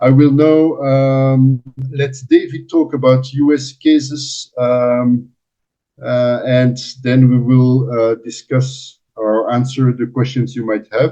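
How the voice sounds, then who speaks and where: Over music in the background, a man talks at a very slow pace with a medium pitch and flat, monotone intonation. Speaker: environmental monitoring company representative. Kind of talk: webinar presentation.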